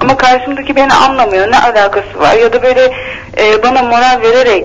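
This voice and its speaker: Over noticeable background noise, a woman speaks at a fairly quick pace in a high voice with ordinary pitch variation. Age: 20s. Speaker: caller. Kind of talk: personal problem on phone-in.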